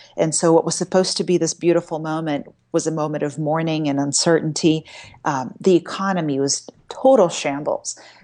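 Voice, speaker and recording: Her voice is very deep and low for a woman, with a dark, mellow tone. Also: ordinary pitch variation, fairly quick pace. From Brazil. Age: 40s. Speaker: journalist and author. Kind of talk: interview. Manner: halting, with many fillers.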